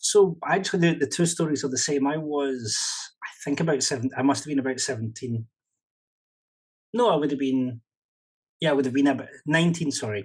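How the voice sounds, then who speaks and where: A man with a Scottish accent at a fairly quick pace, with long, frequent pauses, ordinary pitch variation and a quiet background. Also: fairly high pitch for a man. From Scotland. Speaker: professional interpreter and consultant. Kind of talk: podcast interview.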